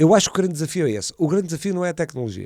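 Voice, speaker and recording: A man with a European Portuguese accent, fairly high in pitch, with a dark, mellow tone. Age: 60s. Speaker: entrepreneur. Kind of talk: podcast interview. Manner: halting, many repetitions.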